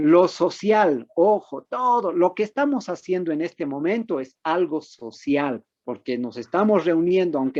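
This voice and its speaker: A man with a high pitch speaks fairly slowly with very wide pitch swings, in a dry, close sound with no echo and a quiet background. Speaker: medical doctor giving a lecture on mental health. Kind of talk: online lecture. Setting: video conference. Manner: conversational, engaging audience with questions.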